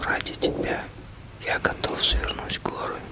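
Over loud background noise, a man talks at a very slow pace in a dry sound with no echo. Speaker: ASMR channel host. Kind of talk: ASMR roleplay address to a loved one. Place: home room.

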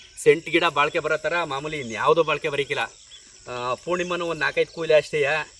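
Against noticeable background noise, a man speaks at a fairly high pitch with fairly even intonation. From Mandya district, Karnataka. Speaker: village vlogger. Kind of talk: casual vlog chat.

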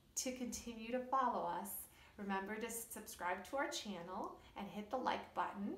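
A woman speaks at a fairly slow pace with ordinary pitch variation, and the room echo is audible. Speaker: children's storyteller. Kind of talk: educational talk to kids. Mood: warm, cheerful. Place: home room. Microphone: phone near.

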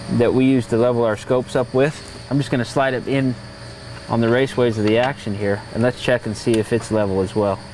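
The speech runs at a very fast pace with fairly even intonation, a dry sound with no echo and light background noise. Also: man. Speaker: gunsmith instructor. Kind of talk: tutorial. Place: workshop.

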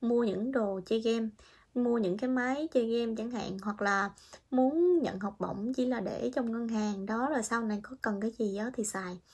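A somewhat breathy woman's voice, fairly high in pitch, with ordinary pitch variation, at a moderate pace, over a quiet background. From Vietnam. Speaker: vlogger, international student in Japan; vlogger. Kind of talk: casual vlog monologue. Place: home room. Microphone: phone near.

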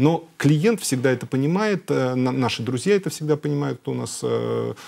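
A man is speaking. His intonation is lively. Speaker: car brand executive. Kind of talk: TV talk show interview. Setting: TV studio. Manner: hesitant, many filler sounds. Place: studio. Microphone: lapel.

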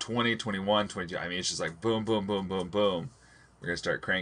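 Intonation stays fairly even in this plain reading aloud.

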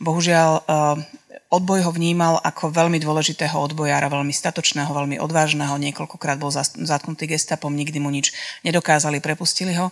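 A woman speaks very fast in a very deep, low voice with monotone, flat intonation against a quiet background. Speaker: documentary filmmaker and author; guest, reporter. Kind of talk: public talk. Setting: live audience event. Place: hall. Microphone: handheld.

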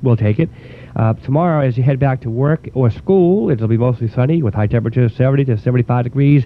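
A man of medium pitch talks at a very fast pace with ordinary pitch variation, the sound dry with no echo. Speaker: college radio DJ. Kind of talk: radio DJ show host talk between songs. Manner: relaxed, casual, with filler words. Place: studio.

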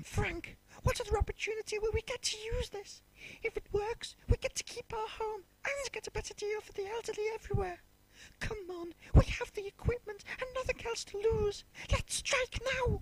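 At a moderate pace, a woman talks in an extremely high pitch, with big swings in loudness. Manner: determined.

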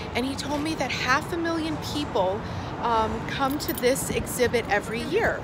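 A woman talks at a moderate pace with music in the background. The sound is dry, with no echo. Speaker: spiritual life coach vlogger. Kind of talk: casual vlog chat. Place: street. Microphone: phone near.

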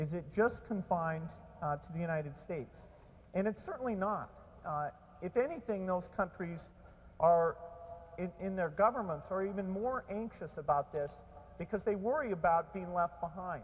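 A man with a high voice speaks at a moderate pace. He leaves long pauses, and often. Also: ordinary pitch variation. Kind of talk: keynote speech. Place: hall. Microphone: lapel.

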